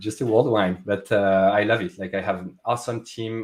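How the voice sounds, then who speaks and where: The pace is fairly quick. A man speaks in a fairly low pitch with fairly even intonation. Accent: French. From France. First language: French. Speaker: tech product manager. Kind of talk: interview conversation. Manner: halting, many fillers.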